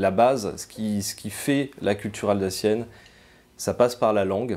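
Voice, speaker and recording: At a fairly slow pace, a man talks with fairly low pitch and fairly even intonation. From France, Alsace (Strasbourg area). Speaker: museum cultural mediator and translator. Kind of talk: interview testimony. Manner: hesitant, many fillers.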